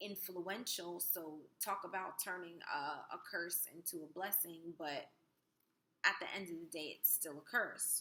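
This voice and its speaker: A woman's voice, bright and sharp in tone, medium-pitched and fairly slow. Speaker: spirituality vlogger. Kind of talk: casual vlog talk. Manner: hesitant, many fillers.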